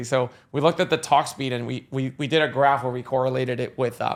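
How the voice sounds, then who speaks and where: With noticeable background noise behind him, a man talks very fast. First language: not English. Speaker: sales software CEO. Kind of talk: interview podcast. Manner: animated.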